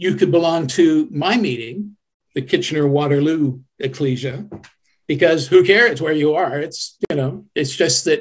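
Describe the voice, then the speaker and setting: Here a man with a plain, everyday voice speaks in a Canadian accent at a fairly slow pace. His pitch is fairly high, with ordinary pitch variation. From Canada. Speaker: website administrator, church volunteer. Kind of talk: interview. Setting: video call. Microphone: crackly sound in places.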